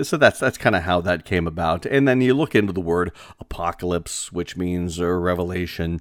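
A man speaks at a moderate pace in a very deep, low voice with ordinary pitch variation. The recording is very clean, with a silent background. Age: 40s. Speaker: podcast host and radio broadcaster. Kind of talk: casual solo podcast monologue. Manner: conversational with many filler words.

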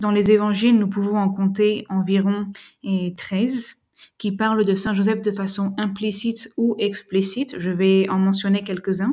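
This woman's medium-pitched voice has a dark, mellow tone and a somewhat breathy quality, delivered fairly slowly with a flat, monotone intonation. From France. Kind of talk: lecture. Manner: formal.

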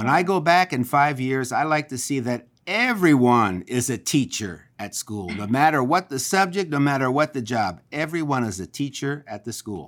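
A man's normal speaking voice, lively in intonation, at a moderate pace with hardly any pauses. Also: medium pitch for a man, very clean recording, silent background. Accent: American. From Philadelphia, Pennsylvania. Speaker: school board member. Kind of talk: interview.

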